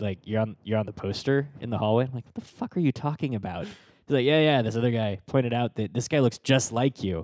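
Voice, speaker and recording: A normal speaking voice moves at a fairly quick pace with ordinary pitch variation, the sound dry and close with no echo. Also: man. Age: 30s. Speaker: tech podcast co-host. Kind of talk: casual chat.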